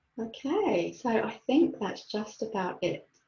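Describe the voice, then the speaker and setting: A woman speaks at a very slow pace, somewhat breathy, in a calm tone. Her intonation is lively. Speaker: mental health and mindfulness trainer. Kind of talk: webinar presentation. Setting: online webinar.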